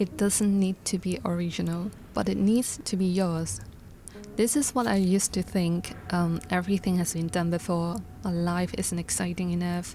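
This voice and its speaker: A moderate pace in a Hong Kong accent, with ordinary pitch variation and music in the background. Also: woman, fairly low pitch for a woman. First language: Cantonese. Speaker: illustrator vlogger. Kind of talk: vlog narration. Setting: home studio desk. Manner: clear, careful.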